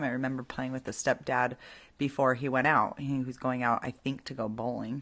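Very deep, low speech from a woman, its intonation fairly even. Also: very clean recording, silent background. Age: 40s. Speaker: podcast host. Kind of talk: personal monologue.

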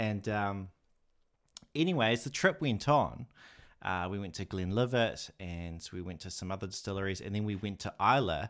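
Recorded very cleanly with a silent background, a man in an ordinary speaking voice talks at a moderate pace with a fairly low pitch and ordinary pitch variation. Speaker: whisky YouTuber and educator. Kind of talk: casual interview chat.

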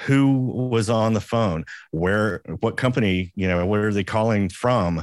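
On a very clean recording with a silent background, a man with an American accent speaks in an ordinary speaking voice, fairly low in pitch, fairly slow, with ordinary pitch variation. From US South. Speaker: audio engineer and podcast co-host. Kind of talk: casual chat.

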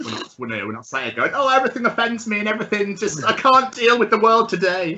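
Amid noticeable background noise, a man speaks in a high voice at a very fast pace with hardly any pauses, ordinary pitch variation and big swings in loudness. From Scotland, raised largely in England. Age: 30s. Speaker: podcast host. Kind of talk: casual chat.

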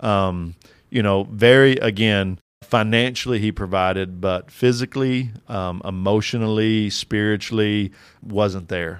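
An ordinary speaking voice with an American accent, fairly slow and fairly even in intonation, on a very clean recording with a silent background. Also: man, fairly low pitch for a man. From rural Kentucky, US. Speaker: doctoral student and fatherhood teacher. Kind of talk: casual interview.

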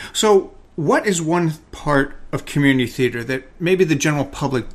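Lively intonation and a moderate pace in a normal speaking voice. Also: man. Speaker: podcast host. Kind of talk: casual interview.

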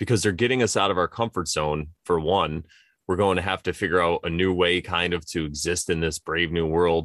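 In a very clean recording with a silent background and a dry, close sound with no echo, a man with a very deep, low voice talks at a fairly quick pace with fairly even intonation. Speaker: podcast co-host. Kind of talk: casual chat. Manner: playful and silly.

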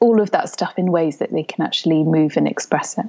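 In a British accent, the speaker talks at a moderate pace with a calm tone. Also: woman. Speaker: osteopath and doula. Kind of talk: casual chat.

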